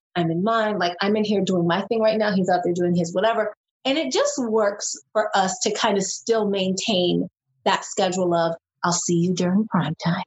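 With an American accent, a woman speaks at a moderate pace in a medium-pitched, somewhat breathy voice, her pitch varying in an ordinary way and her loudness very even. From New York City, Brooklyn. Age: 40s. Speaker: reality TV contestant. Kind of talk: casual chat.

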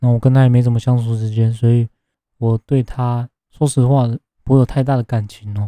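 Medium-pitched man with a dark, mellow tone and monotone, flat intonation, the sound dry and close with no echo. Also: fairly quick pace. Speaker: podcast host. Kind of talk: casual monologue reviewing a TV drama. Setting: home room with poor soundproofing.

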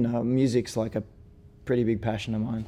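This man's voice sits at a medium pitch. Its tone is dark and mellow. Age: 40s. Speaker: pro skater. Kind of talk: casual chat.

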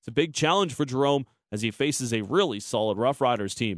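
A man with a normal speaking voice, lively intonation, and a fairly quick pace, recorded with a dry, close sound with no echo over a quiet background. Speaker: sports reporter. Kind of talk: scripted report.

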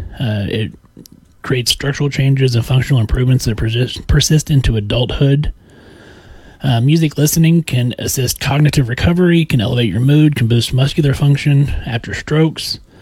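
A man in a Midwestern US accent talks at a fairly quick pace, somewhat breathy, with a fairly high pitch and ordinary pitch variation. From Kansas. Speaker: podcast co-host, healthcare worker. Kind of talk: reading aloud; casual chat.

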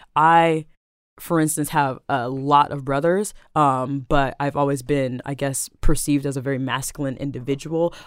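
The speaker has an American accent and keeps a moderate pace. The recording is very clean, with a silent background. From South Seattle, Rainier Beach. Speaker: poet and activist. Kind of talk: casual chat.

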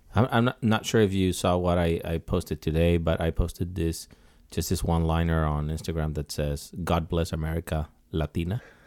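Speaking fairly quickly with a Mexican accent, a man has a very deep, low voice and fairly even intonation. The recording is very clean, with a silent background and a dry, close sound with no echo. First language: Spanish. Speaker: designer and clothing brand founder. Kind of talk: casual chat. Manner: halting, with many repetitions.

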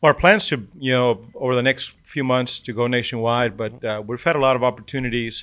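A man with an ordinary speaking voice, medium in pitch, with fairly even intonation at a fairly quick pace over a quiet background. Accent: American. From Texas. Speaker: business partner. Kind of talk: casual interview.

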